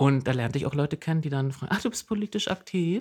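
The voice is somewhat breathy with very wide pitch swings, and the recording is very clean with a silent background. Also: man. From eastern Saxony-Anhalt, Jessen. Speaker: podcast co-host, local traffic activist. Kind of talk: casual chat.

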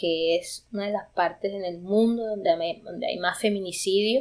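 A woman with a plain, everyday voice and a medium pitch speaks at a moderate pace with fairly even intonation. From Sucre, Caribbean coast of Colombia. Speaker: student leader and theatre performer. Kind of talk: interview. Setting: in Vancouver, Canada.

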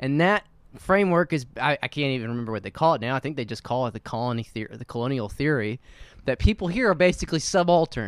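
Talking at a very fast pace, a man uses lively intonation and big swings in loudness. The sound is dry and close, with no echo. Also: medium pitch for a man. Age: 30s. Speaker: podcast host. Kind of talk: casual chat.

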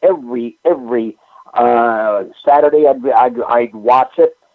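Speaking fairly slowly with a New England accent, a man keeps a medium pitch and ordinary pitch variation. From New England, Springfield, Massachusetts. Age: 70s. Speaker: pro wrestling historian. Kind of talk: casual chat.

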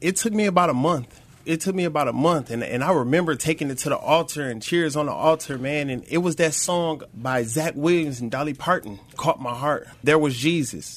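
A man with an American accent and an unremarkable speaking voice, fairly high in pitch, with ordinary pitch variation, a fairly quick pace and hardly any pauses. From Flint, Michigan. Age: 30s. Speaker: recovery program student. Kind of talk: testimony. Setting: studio.

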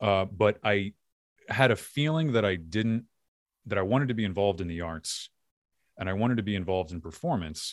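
This man has a Philadelphia accent and a fairly low pitch, talking at a fairly quick pace with lively intonation and long, frequent pauses on a very clean recording with a silent background. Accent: faint Philadelphia. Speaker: podcast host and filmmaker. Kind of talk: casual interview.

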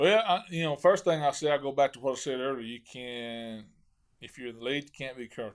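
A man talks fairly quickly at a medium pitch with lively intonation and big swings in loudness, in a very clean recording with a silent background. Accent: American. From Arkansas (Hot Springs). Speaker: professional bass angler. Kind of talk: casual interview.

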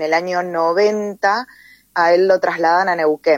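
This woman has an ordinary speaking voice, fairly low in pitch with fairly even intonation. The sound is dry and close, with no echo. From Tierra del Fuego, Argentina. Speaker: poet and teacher. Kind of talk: interview.

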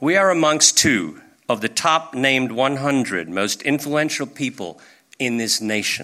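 Medium-pitched male voice with vocal fry and a bright, sharp tone, at a fairly slow pace. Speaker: business executive introducing speakers. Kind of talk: stage introduction.

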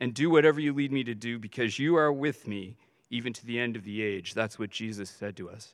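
A man goes along at a fairly quick clip in an ordinary speaking voice, his pitch varying by an ordinary amount. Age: 50s. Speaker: visiting pastor. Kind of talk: sermon. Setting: church service.

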